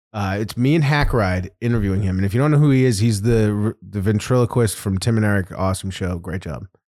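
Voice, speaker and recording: A man's fairly low voice at a very fast pace, with hardly any pauses and ordinary pitch variation. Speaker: podcast host. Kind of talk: casual banter. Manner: laughs a lot, joking.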